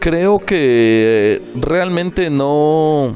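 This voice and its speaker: Man with very wide pitch swings, over music in the background. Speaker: podcast host. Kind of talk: solo Q&A podcast monologue.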